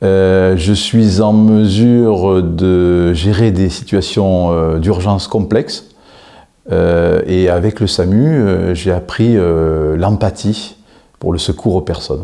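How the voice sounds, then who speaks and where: At a very slow pace, a man speaks in a very deep, low pitch with a dark, mellow tone. His loudness stays very even while his pitch varies an ordinary amount. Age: 60s. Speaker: job seeker, former helicopter pilot. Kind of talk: interview self-presentation.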